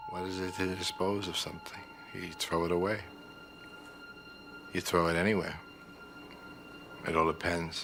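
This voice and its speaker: Over music in the background, a man with a very deep, low voice speaks in a flat monotone, leaving long, frequent pauses. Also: moderate pace. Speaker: convicted contract killer. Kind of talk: interview answer. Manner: monotonous, flat, emotionless.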